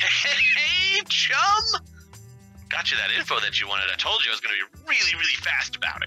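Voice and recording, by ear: A man puts on a character voice with a bright, sharp tone and fairly high pitch, swinging very widely in pitch. He keeps a moderate pace while faint music plays in the background.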